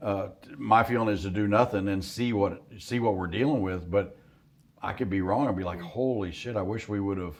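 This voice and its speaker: This man has a plain, everyday voice, fairly low in pitch, moving at a fairly quick pace with ordinary pitch variation. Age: 60s. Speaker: hunting outfitter. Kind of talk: casual chat. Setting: deer camp.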